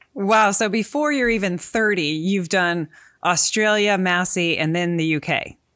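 A woman speaks in a normal speaking voice at a medium pitch, fairly slowly, with ordinary pitch variation. Her loudness stays very even, and the recording is very clean with a silent background. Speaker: podcast host. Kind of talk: podcast interview.

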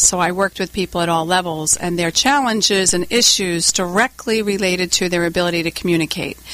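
In an American accent, a woman with a medium pitch talks at a fairly quick pace. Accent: Rhode Island accent, noticeable on numbers. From US Northeast, Warwick, Rhode Island. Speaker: leadership communication trainer and company CEO. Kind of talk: radio interview.

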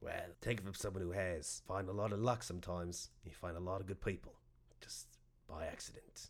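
Putting on a character voice, a man sounds gruff and raspy with a very deep, low pitch, fairly even intonation and a fairly quick pace. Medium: actual play.

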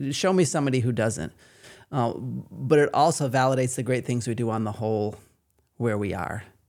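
On a very clean recording with a silent background, a man with a Maine accent speaks fairly quickly at a medium pitch with ordinary pitch variation. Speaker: patient experience coordinator. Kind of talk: casual interview.

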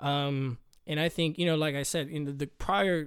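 Here is a man with an American accent and a normal speaking voice. His pitch is fairly high, his intonation fairly even, and his pace moderate. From Corpus Christi, Texas. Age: 20s. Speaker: newlywed husband. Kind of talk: casual chat.

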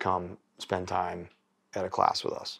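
A man is speaking. His pace is moderate. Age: 40s. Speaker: shooting instructor. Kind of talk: casual chat.

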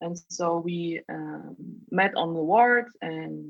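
A woman's fairly low voice in a German accent. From Germany, East Berlin. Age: 30s. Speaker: doctor, podcast guest. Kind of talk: casual interview chat.

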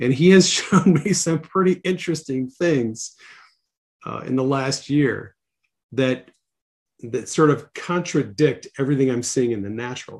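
In a plain, everyday voice with an American accent, the speaker goes at a fairly slow pace with ordinary pitch variation. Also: man, fairly high pitch for a man. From Wisconsin. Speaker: podcast host. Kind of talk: casual interview. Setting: remote call.

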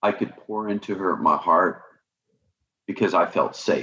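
A man talks at a fairly slow pace, low in pitch, with ordinary pitch variation. His tone is bright and sharp, with a slightly husky edge.

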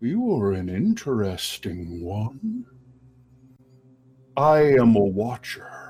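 A man puts on a character voice at medium pitch, going at a very slow pace with long, frequent pauses. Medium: actual play. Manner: slow, formal, measured.

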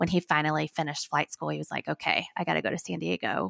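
A woman with a Southern US accent talks at a very fast pace with lively intonation and vocal fry. The sound is dry and close with no echo, on a very clean recording with a silent background. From northern Alabama. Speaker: nonprofit founder and social media manager. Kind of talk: casual interview.

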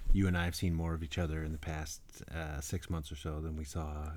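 An animated, somewhat breathy man speaks at a fairly quick pace. His pitch is very deep and low. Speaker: podcast co-host. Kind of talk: casual chat. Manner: animated, joking.

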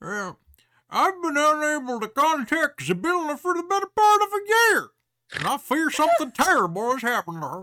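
A put-on character voice, pitched high, moves along at a moderate pace.

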